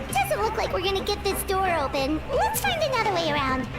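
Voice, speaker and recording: A squeaky, put-on character voice runs at a fairly quick pace over loud background noise. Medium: game stream. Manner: lively, chatty.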